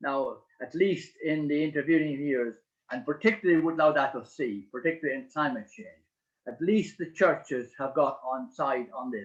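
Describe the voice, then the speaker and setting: In an Irish accent, a man talks with a fairly high pitch. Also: lively intonation, moderate pace, big swings in loudness. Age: 70s. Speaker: priest and author. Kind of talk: book launch speech. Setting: online video event. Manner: halting, many hesitations.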